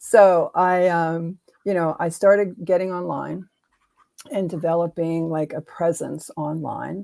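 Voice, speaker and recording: With an American accent, a woman talks at a fairly low pitch in a dark, mellow tone. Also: fairly even intonation, fairly slow pace. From Pittsburgh, Pennsylvania. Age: 70s. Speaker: expressive arts teacher and mentor. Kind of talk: podcast interview. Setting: live video podcast.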